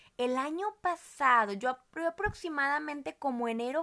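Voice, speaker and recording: A woman's bright, sharp tone, with ordinary pitch variation and a moderate pace. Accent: northern Mexican. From Mexico, Monterrey. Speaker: podcast host, mother. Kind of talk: casual family chat.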